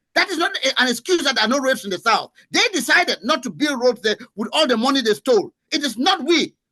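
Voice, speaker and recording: Raised and projected, a man's extremely high-pitched voice races at a very fast pace with a bright, sharp, animated tone and lively intonation, in a dry, close sound with no echo. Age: 60s. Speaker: veteran journalist. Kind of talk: heated debate. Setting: studio.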